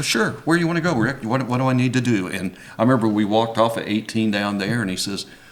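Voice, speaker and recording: A man with an American accent, very fast and with hardly any pauses, amid audible room echo and noticeable background noise. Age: 70s. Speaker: retired golf pro. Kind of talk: casual chat. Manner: halting.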